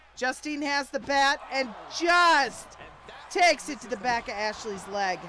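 In a raised, projected voice, a woman speaks at a high pitch and fairly slow pace with lively intonation and big swings in loudness, over noticeable background noise. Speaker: wrestling commentator. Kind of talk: live wrestling commentary. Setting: Twitch stream.

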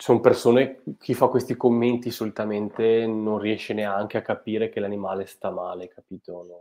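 At a moderate pace and with hardly any pauses, a man speaks in a dark, mellow tone with fairly even intonation and big swings in loudness. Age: young. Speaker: biologist and fish pathologist; livestream host. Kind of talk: live stream interview. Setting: video call. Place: home room. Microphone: earbuds.

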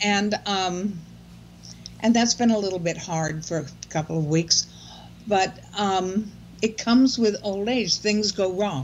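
Over light background noise, a somewhat breathy woman talks at a fairly slow pace, leaving long, frequent pauses and using ordinary pitch variation. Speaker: blogger on aging. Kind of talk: casual chat. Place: home room. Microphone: video call.

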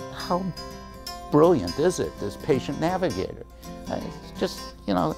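Clear music sounds in the background while a man speaks. His pace is fairly slow, with long, frequent pauses. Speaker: son of program client. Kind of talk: interview answer. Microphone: lapel.

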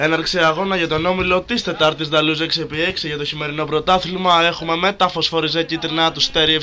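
The speaker talks at a moderate pace in a monotone, flat intonation over noticeable background noise. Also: man. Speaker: football commentator. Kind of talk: live commentary.

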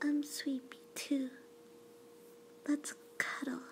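The speaker is soft-spoken and goes at a very slow pace, with light background noise behind. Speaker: roleplay voice actor. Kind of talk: soft intimate roleplay, ASMR-like. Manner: soft, sleepy, tender ASMR voice.

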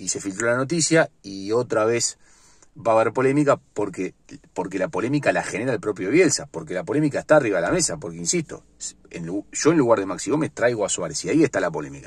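Speaking very fast, a man has a Uruguayan accent and a somewhat breathy voice. The sound is dry with no echo. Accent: Uruguayan Rioplatense Spanish. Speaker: sports vlogger. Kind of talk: casual sports commentary monologue. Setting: in a car. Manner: halting, many fillers and repetitions. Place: car. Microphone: phone near.

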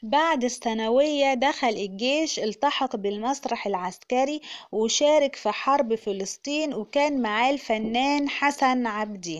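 In an Egyptian accent, the speaker goes at a very slow pace with hardly any pauses and ordinary pitch variation against a quiet background. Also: woman, high pitch for a woman. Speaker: YouTube narrator. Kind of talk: scripted narration.

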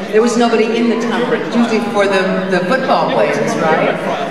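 Over loud background noise and audible room echo, a woman talks at a fairly quick pace with ordinary pitch variation. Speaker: guest. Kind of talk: anecdote to an audience. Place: stage.

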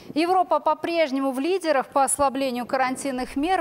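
At a moderate pace, the delivery carries lively intonation. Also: woman. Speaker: news anchor. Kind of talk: news reading. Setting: studio. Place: studio.

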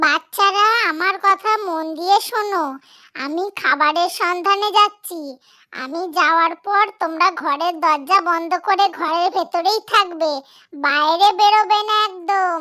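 In a very clean recording with a silent background, a cartoonish character voice moves at a fairly slow pace. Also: female-sounding voice, extremely high pitch for a woman. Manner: motherly, caring.

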